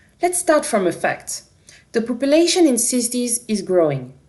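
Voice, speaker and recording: Against a quiet background, a woman speaks at a moderate pace with a French accent. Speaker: company representative presenting a product. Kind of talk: conference product presentation. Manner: dynamic.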